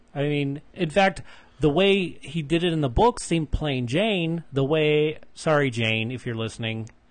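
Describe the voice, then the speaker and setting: A man with a normal speaking voice, fairly high pitch, lively intonation and a fairly slow pace. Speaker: podcast host. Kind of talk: casual chat. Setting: recorded in Las Vegas, Henderson.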